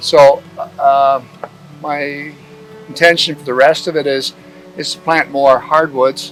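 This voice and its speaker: A man's fairly high voice in a monotone, flat intonation at a very slow pace, with long, frequent pauses, big swings in loudness and music in the background. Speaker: retired veterinarian and woodlot owner. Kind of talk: guided outdoor walking tour. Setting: outdoors in woodland. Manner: casual, halting with many fillers and repeats.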